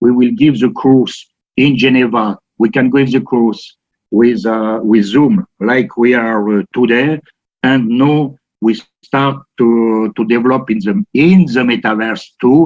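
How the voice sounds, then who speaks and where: At a fairly slow pace, a man talks with medium pitch and ordinary pitch variation. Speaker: watchmaker and company founder. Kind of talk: panel discussion. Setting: video call. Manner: halting.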